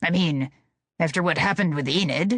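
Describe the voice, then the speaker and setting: Growling in a put-on character voice, a man speaks at a fairly quick pace with a high pitch. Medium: read story. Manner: petulant, demanding.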